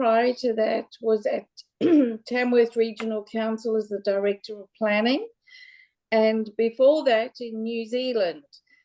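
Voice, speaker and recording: In a South African accent, a woman speaks at a fairly slow pace with a fairly high pitch, a dark, mellow tone, fairly even intonation, and big swings in loudness. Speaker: local government general manager. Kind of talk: panel self-introduction.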